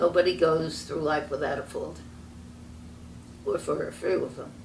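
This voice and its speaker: Delivered at a very slow pace in a New York accent, the speech carries audible room echo. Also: woman. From New York City (Brooklyn). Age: 90s. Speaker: interviewee recounting family history. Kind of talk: family oral history interview. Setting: sitting together in person.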